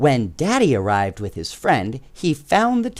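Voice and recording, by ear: A passage is read aloud, the voice sounding natural.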